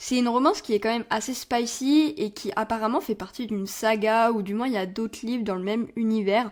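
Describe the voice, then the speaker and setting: At a fairly quick pace, a woman speaks at a fairly high pitch with ordinary pitch variation. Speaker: book podcaster. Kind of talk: casual book review monologue. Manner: casual, conversational with hesitations.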